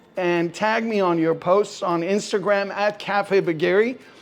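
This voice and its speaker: Over background music, a woman with a medium pitch speaks at a very slow pace. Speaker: cooking show host. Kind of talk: cooking tutorial. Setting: home kitchen. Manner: animated.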